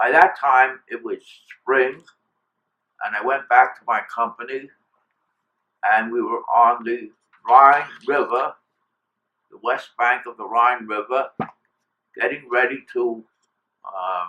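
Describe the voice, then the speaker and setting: A man with an American accent, at a very slow pace, with long, frequent pauses and big swings in loudness. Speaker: war veteran. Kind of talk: interview answer.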